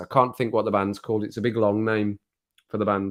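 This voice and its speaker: A man's monotone, flat delivery at a very fast pace, on a very clean recording with a silent background. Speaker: YouTube livestreamer. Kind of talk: casual live stream chat.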